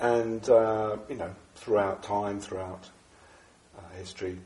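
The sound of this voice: With audible room echo, a man speaks at a moderate pace in a low pitch with little pitch movement and a slightly mellow tone.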